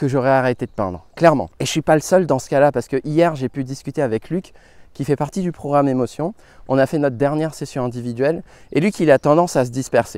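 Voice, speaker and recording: Recorded very cleanly with a silent background and a dry, close sound with no echo, a man talks at a very fast pace with a fairly high pitch and ordinary pitch variation. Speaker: watercolour teacher. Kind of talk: podcast monologue.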